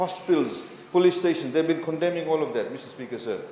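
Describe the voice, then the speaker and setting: A man talks at a very fast pace. Audible room echo and noticeable background noise surround him. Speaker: government minister in parliament. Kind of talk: parliamentary debate speech. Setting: parliament chamber.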